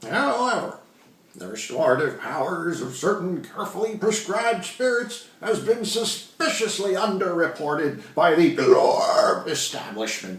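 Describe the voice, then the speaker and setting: A man uses a put-on character voice, gravelly and high-pitched, at a moderate pace. There is a slight echo. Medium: read story. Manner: rambling, pompous.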